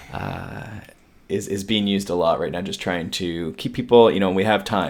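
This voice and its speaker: The speaker is a man with a fairly low pitch. He keeps to a moderate pace. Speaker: endurance coach and podcast co-host. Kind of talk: casual chat. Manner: monotone.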